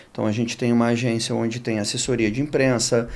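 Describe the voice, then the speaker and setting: A man's medium-pitched voice holds fairly even intonation at a moderate pace. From Rio de Janeiro, Brazil. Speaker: sports marketing executive. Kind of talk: podcast interview. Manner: casual, with some hesitations.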